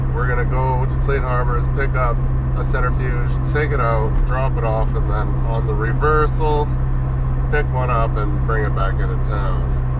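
A man speaks at a moderate pace. The sound is dry with no echo, but loud background noise runs underneath. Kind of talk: casual vlog chat. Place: car. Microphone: phone near.

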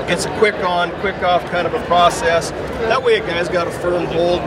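A man talks at a moderate pace. The sound is dry with no echo, with crowd noise in the background. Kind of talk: interview answer. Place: hall. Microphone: handheld.

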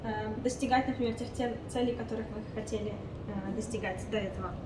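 A woman speaks at a moderate pace. Background noise is noticeable. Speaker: business incubator coordinator. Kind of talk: informational presentation. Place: meeting room.

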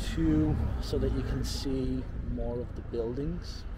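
Loud background noise surrounds a man speaking at a fairly slow pace. The sound is dry, with no echo. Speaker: walking tour vlogger. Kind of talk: casual vlog chat. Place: street. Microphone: phone near.

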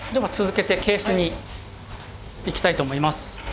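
Noticeable background noise is present throughout. The talking moves at a moderate pace. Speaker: watch polishing craftsman. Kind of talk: explaining work on camera.

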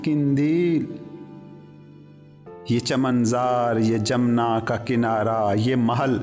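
Music plays in the background. A man talks with fairly even intonation. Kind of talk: poetry reading.

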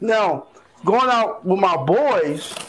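A man speaks over noticeable background noise. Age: 40s. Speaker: guest in a group live-stream discussion. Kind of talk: casual group discussion. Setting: online live-stream room.

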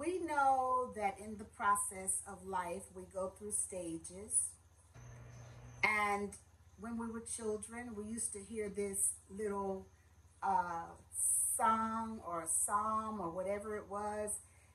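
A woman talks at a very slow pace in a bright, sharp tone. Her intonation stays fairly even over light background noise. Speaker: minister giving a message. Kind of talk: sermon. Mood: warm, welcoming. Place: home room. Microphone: phone near.

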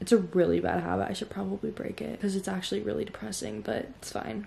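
A soft-spoken woman talks at a very fast pace with ordinary pitch variation. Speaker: vlogger. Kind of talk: casual vlog chat. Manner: drowsy, low late-night murmur. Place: home room. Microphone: phone near.

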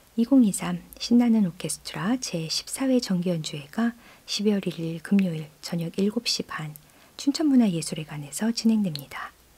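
A woman at medium pitch, very slow in pace, with lively intonation. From South Korea. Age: 40s. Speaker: radio host and composer; radio host. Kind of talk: radio music programme presenting. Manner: warm, conversational. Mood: calm, warm, gentle. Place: studio. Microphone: studio mic.

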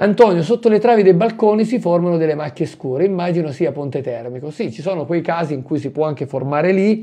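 Speaking at a fairly quick pace, a man with a high pitch and a dark, mellow tone uses ordinary pitch variation. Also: quiet background. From northern Italy, Milan area; northern Italy. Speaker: mould remediation expert and product seller; product seller. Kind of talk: live stream Q&A. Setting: live stream from home. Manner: chatty, animated. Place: home room. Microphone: phone near.

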